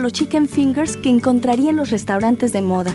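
Woman speaking fairly quickly with lively intonation over music in the background. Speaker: voice actor. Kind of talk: TV commercial read.

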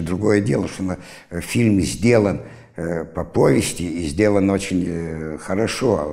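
Against a quiet background, a man talks at a very slow pace in a dark, mellow tone with vocal fry. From Siberia, Irkutsk region; Siberia, Russia. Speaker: university lecturer; university lecturer, interviewee. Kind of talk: interview storytelling. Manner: animated. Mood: lively, amused storytelling. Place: studio. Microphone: lapel.

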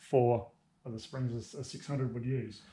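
Somewhat breathy, this man's voice carries a dark, mellow tone. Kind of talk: tutorial. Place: workshop. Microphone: phone near.

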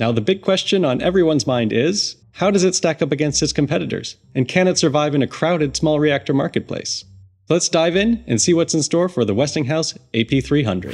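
A man talks at a moderate pace with lively intonation and vocal fry. He hardly pauses, and the background is quiet. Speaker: science video host. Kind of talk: explainer commentary. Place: home room. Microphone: studio mic.

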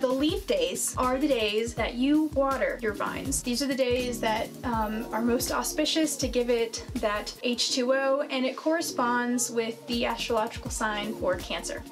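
With clear music in the background, a woman speaks in a high pitch. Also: ordinary pitch variation, fairly slow pace. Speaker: wine vlogger host. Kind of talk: explanatory vlog talk. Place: home room.

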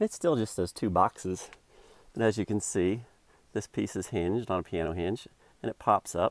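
A man talks in a plain, everyday voice, fairly low in pitch with ordinary pitch variation. The sound is dry with no echo over a quiet background. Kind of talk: tutorial. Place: car. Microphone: phone near.

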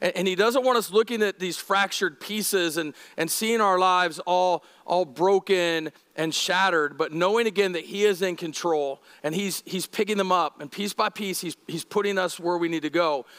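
Against a quiet background, a man with a high pitch talks at a moderate pace, his pitch varying in an ordinary way. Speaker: lead pastor. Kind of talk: sermon. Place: church. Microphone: headset.

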